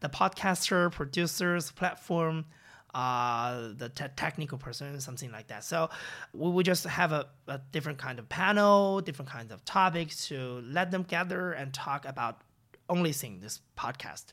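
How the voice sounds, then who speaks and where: A man with a Chinese accent, fairly high pitch, bright and sharp tone, lively intonation, big swings in loudness and moderate pace, on a very clean recording with a silent background. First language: Mandarin Chinese. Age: young. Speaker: podcast founder and host. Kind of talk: interview. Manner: halting.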